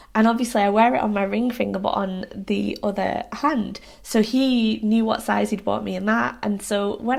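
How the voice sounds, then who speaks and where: At a moderate pace, a woman speaks with a British accent. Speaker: lifestyle vlogger. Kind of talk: casual vlog to camera. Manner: rambling, hesitant with ums.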